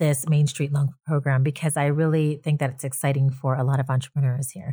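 This woman's voice is very deep and low, with a dark, mellow tone. She sounds somewhat breathy on a very clean recording with a silent background. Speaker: podcast host. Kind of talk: interview.

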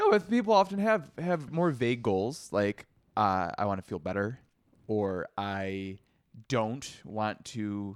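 A man with an ordinary speaking voice talks at a medium pitch with lively intonation. The sound is dry and close with no echo, on a very clean recording with a silent background. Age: 30s. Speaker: psychologist and podcast co-host. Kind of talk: casual chat.

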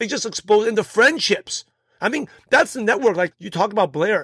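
With an American accent, a man talks at a moderate pace with ordinary pitch variation, his voice dry and close with no echo, on a very clean recording with a silent background. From US Northeast, Brooklyn, New York. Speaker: podcast host and network marketing coach. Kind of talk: interview conversation.

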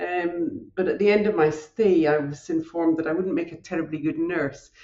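A woman speaks in a Scottish accent. Her pace is moderate. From northern Scotland. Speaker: hematologist. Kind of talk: interview. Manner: halting.

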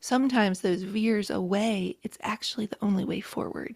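A woman with an American accent, medium-pitched and somewhat breathy, with fairly even intonation. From rural West Virginia, Appalachia. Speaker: author and podcaster. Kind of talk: casual interview.

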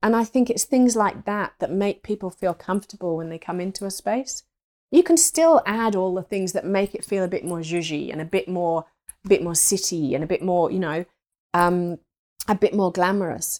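A woman with an English accent speaks at a medium pitch. The recording is very clean and silent behind her, with a dry, close sound and no echo. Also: ordinary pitch variation, moderate pace. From rural England. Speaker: interior stylist. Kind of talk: interview. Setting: home, cat with a bell nearby.

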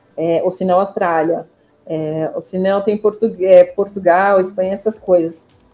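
Music plays behind a woman speaking at a fairly slow pace. Her medium pitch stays monotone, with flat intonation. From Israel. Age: 40s. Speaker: university representative. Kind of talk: interview.

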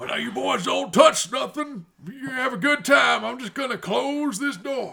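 A man's put-on character voice, extremely high in pitch, with ordinary pitch variation. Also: moderate pace. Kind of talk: rustic comic characterization. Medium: actual play. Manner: folksy, slow, drawling.

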